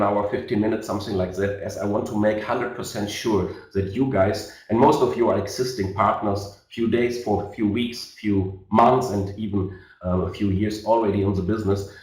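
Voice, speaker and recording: With a German accent, a man speaks at a fairly quick pace in a fairly low voice, with hardly any pauses and ordinary pitch variation. Audible room echo and noticeable background noise fill the recording. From Germany. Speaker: network marketing leader. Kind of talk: sales webinar presentation. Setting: online webinar. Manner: halting, many fillers.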